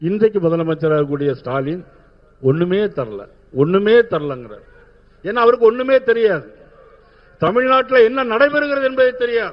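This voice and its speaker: Using very wide pitch swings, a man with a high pitch talks in a southern Tamil Nadu accent. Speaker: politician. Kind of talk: political rally speech.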